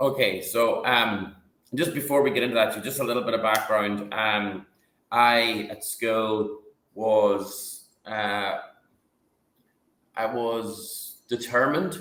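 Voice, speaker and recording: In an Irish accent, a man speaks very slowly with long, frequent pauses, his medium-pitched voice bright and sharp with ordinary pitch variation amid audible room echo. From northwest Ireland. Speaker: company CEO. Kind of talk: interview. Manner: halting.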